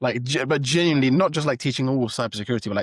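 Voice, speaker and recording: Heard in a dry, close sound with no echo, a man talks at medium pitch. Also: very clean recording, silent background. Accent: British. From London, England. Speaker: startup founder. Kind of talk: interview. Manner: hesitant, many fillers.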